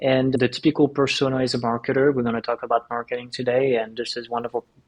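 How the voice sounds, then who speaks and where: The speaker has a French accent and monotone, flat intonation. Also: man. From France. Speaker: tech company founder and CEO. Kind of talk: podcast interview.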